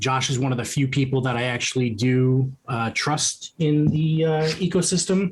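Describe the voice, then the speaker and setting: A man speaks at a medium pitch with a New York accent. His voice is somewhat breathy. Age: 50s. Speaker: crypto investor. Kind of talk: podcast interview. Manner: hesitant, many fillers.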